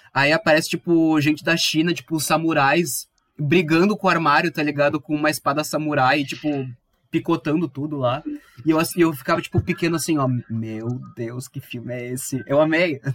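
A man with a fairly high pitch keeps his intonation fairly even while talking at a moderate pace. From southern Brazil, Viamão (Rio Grande do Sul). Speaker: podcast host. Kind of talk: casual chat.

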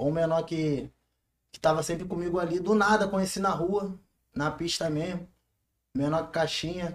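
The speaker, with a Carioca accent, moves at a moderate pace and leaves long, frequent pauses. The intonation is fairly even. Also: man, high pitch for a man. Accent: carioca Brazilian Portuguese. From Rio de Janeiro. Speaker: funk MC. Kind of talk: casual interview.

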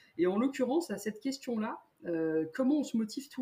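Her tone dark and mellow, a woman speaks somewhat breathily, her pitch swinging very widely. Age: 30s. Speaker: amateur runner, bank account manager. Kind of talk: casual interview.

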